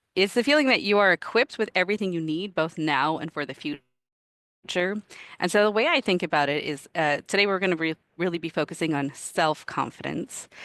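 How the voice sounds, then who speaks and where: A woman's fairly low-pitched voice at a fairly quick pace with lively intonation, in a dry, close sound with no echo over a quiet background. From Canada. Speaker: product manager and career coach. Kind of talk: presentation talk. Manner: animated.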